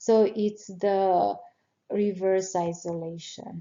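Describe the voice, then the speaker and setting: Someone with a non-native accent speaks at a very slow pace. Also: woman. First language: not English. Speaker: nurse educator. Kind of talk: exam review tutorial. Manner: halting, many fillers.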